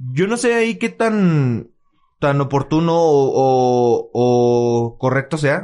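A man's fairly high voice with a dark, mellow tone, very wide pitch swings, very even loudness and a very slow pace. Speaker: podcast co-host. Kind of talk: casual chat. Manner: halting.

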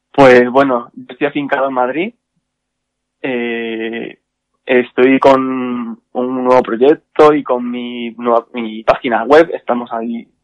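The dry, close sound has no echo. A man at a medium pitch speaks very slowly in a monotone, flat way. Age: 30s. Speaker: hairdresser and makeup artist. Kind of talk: casual interview. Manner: hesitant, many fillers.

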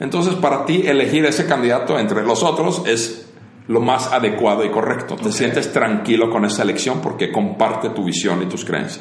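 A fairly quick pace and lively intonation amid noticeable background noise. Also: man, medium pitch for a man. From Finland. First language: Finnish (speaking Spanish). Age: 40s. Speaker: entrepreneur. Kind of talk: casual interview chat.

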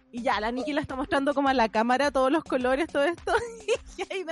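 A woman's lively intonation rises and falls against noticeable background noise. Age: 30s. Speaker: podcast co-host. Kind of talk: casual chat.

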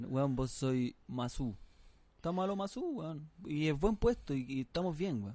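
A dark, mellow tone in a Chilean accent, with lively intonation at a fairly slow pace. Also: man, fairly high pitch for a man. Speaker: comedy podcast co-host. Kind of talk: casual comedic banter. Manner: animated.

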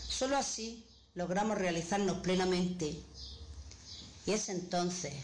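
With audible room echo, a woman talks at a fairly slow pace in a fairly low voice with ordinary pitch variation. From Granada, Andalusia, Spain. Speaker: poet. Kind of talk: recorded testimony and poetry reading.

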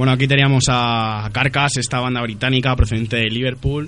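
This man's monotone, flat intonation sits at a medium pitch as he talks at a moderate pace. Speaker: radio host. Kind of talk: casual radio chat. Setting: studio. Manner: halting.

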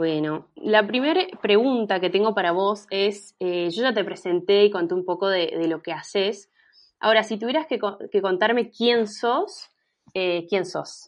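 A woman with an Argentine accent speaks at a fairly slow pace with ordinary pitch variation. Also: medium pitch for a woman. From Argentina, Mendoza. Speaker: podcast host. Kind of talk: interview.

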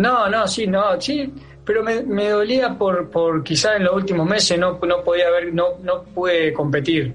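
With music in the background and audible room echo, a man with a high pitch speaks at a fairly slow pace. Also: ordinary pitch variation, very even loudness. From Argentina, Santa Fe province. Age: 30s. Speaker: footballer. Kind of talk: interview. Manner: halting, many fillers.

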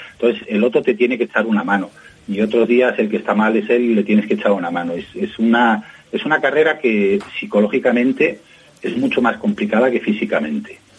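The speaker moves at a fairly quick pace with lively intonation over noticeable background noise. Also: man, medium pitch for a man. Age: 50s. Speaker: journalist and rally co-driver. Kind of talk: interview. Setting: phone call.

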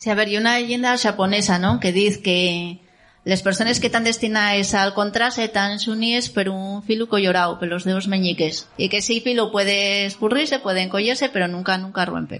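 A woman with an ordinary speaking voice talks at a fairly quick pace and medium pitch, with ordinary pitch variation and hardly any pauses. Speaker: poet. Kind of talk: casual chat. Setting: stage with audience.

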